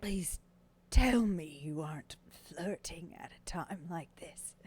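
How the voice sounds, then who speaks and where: Putting on a character voice, a woman sounds raspy at a fairly low pitch and a fairly slow pace. Her loudness swings widely while her pitch varies in an ordinary way. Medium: actual play.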